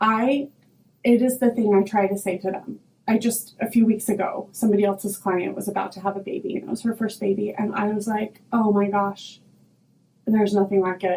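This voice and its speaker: A dark, mellow tone at a fairly quick pace. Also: woman, medium pitch for a woman. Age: 40s. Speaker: hair stylist and podcaster. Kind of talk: casual chat. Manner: loud; animated.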